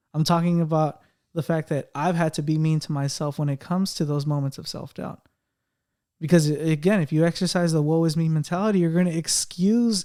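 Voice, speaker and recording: The man's tone is dark and mellow. He speaks at a fairly quick pace. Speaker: podcast co-host. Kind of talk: casual chat. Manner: halting, with repeated words.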